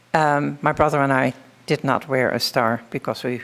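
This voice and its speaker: In a Dutch accent, a woman talks at a fairly slow pace with a very deep, low pitch. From Netherlands. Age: 80s+. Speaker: Holocaust survivor. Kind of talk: testimony.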